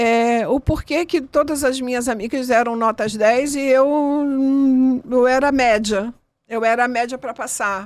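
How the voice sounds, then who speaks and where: A woman speaks very slowly, her high voice carrying fairly even intonation. The recording is very clean, with a silent background. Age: 60s. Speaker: interviewee sharing life story, chromotherapy practitioner. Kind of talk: interview testimony.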